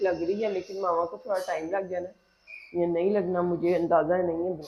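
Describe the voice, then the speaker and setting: A woman speaks at a medium pitch in a monotone, flat delivery, with noticeable background noise. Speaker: vlogger. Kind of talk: casual vlog talk to camera.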